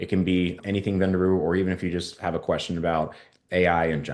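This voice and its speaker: A man's very deep, low voice at a very fast pace against a quiet background. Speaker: head of operations hosting a company webinar. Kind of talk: webinar presentation. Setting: online webinar with live chat.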